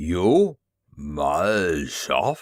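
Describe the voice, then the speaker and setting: A man's put-on character voice, guttural and growling, with a very deep, low pitch. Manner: angry, surprised, threatening.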